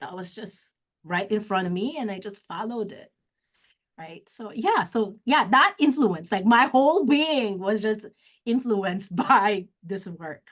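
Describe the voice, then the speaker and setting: In a Filipino accent, a woman talks at a fairly slow pace and fairly high pitch, with lively intonation and big swings in loudness. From Philippines, Olongapo City (Kapampangan). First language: Kapampangan. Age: 50s. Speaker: executive director of an advocacy organization. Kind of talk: interview. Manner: halting, frequent self-corrections and fillers.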